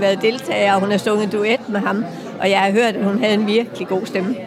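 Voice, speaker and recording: Over crowd noise in the background and audible room echo, the speaker talks at a fairly quick pace in a monotone, flat delivery. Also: woman. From Jutland, Hobro. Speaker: concert organiser. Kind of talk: casual interview. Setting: music venue.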